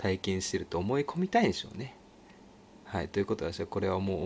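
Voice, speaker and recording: Normal rise and fall in pitch, with clear background noise behind it. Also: man. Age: 30s. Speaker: podcast host. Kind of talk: casual solo talk. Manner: animated.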